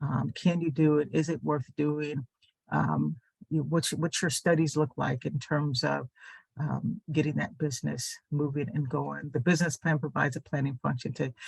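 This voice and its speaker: The man speaks at a moderate pace with a fairly high pitch, vocal fry and fairly even intonation, in a dry, close sound with no echo. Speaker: small business adviser. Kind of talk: webinar presentation. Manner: halting, many fillers.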